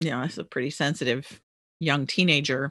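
A woman with an American accent, bright, sharp tone and moderate pace in a dry, close sound with no echo. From US, Maryland. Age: 60s. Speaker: author and religion commentator. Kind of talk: casual interview chat.

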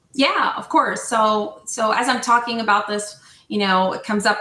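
Over noticeable background noise, a woman in an American accent talks at a moderate pace with fairly even intonation. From New Jersey. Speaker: HR software sales representative. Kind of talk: casual interview.

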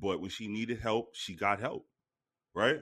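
A man speaks at a moderate pace in an animated tone, his pitch fairly low. The background stays quiet. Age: 40s. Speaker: podcast co-host. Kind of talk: casual chat.

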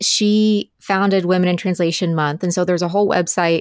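Fairly even intonation and a fairly low pitch mark this woman's normal speaking voice. The recording is very clean with a silent background, dry and close with no echo. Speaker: book editor and podcaster. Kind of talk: casual chat.

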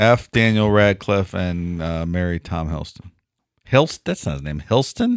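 A man's very deep, low voice with a Midwestern American accent, ordinary pitch variation and a fairly slow pace, in a very clean, dry, close recording with a silent background and no echo. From Cleveland, Ohio. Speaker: podcast co-host. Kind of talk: casual chat. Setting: studio.

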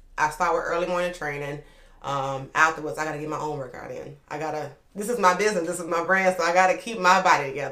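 Over noticeable background noise, a woman talks at a very fast pace and a fairly low pitch, her loudness swinging widely. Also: ordinary pitch variation. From New Orleans, Louisiana (uptown, third ward). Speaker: personal trainer and entrepreneur. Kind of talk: interview, personal story.

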